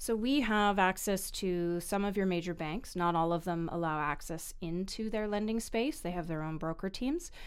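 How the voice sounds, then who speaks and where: At a moderate pace, an unremarkable speaking voice with a Canadian accent runs on with hardly any pauses. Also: woman, medium pitch for a woman, ordinary pitch variation. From Vancouver, Canada. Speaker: mortgage broker. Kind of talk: podcast interview.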